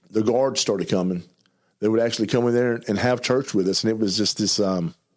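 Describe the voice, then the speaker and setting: Speaking with an Arkansas accent, a man keeps his loudness very even, his pitch medium and his pitch variation ordinary. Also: fairly quick pace. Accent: Southern US (Arkansas). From US South, eastern Arkansas. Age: 50s. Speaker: recovered addict sharing testimony. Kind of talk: testimony. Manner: fast; mumbling.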